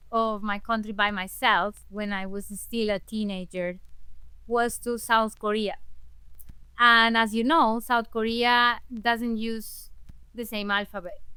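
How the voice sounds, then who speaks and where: A woman's bright, sharp voice at a fairly high pitch, at a very slow pace with fairly even intonation. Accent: Spanish. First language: Spanish. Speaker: language access advocate and interpreter. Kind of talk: interview conversation. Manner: halting with self-corrections.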